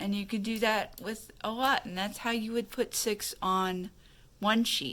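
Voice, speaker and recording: Her tone is bright and sharp, at a fairly high pitch with ordinary pitch variation. The woman speaks fairly slowly. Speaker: craft tutorial youtuber. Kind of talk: tutorial. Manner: halting, filler-heavy; mumbling. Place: home room. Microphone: phone near.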